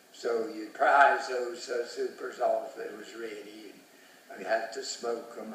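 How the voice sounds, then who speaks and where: Fairly even intonation carries through audible room echo and noticeable background noise. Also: man. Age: 80s+. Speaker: retired beekeeper. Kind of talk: storytelling. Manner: halting.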